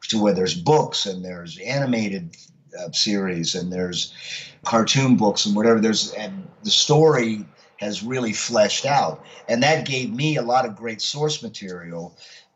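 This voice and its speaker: An ordinary speaking voice from a man, medium in pitch, with lively intonation at a moderate pace. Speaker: professional voice actor and veteran radio DJ. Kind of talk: interview answer. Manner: conversational, relaxed.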